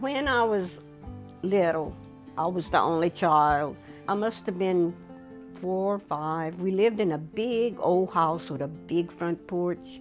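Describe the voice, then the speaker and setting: Fairly slow, fairly low-pitched speech from a woman with ordinary pitch variation, music in the background. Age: 80s+. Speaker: elder sharing life story. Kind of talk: interview.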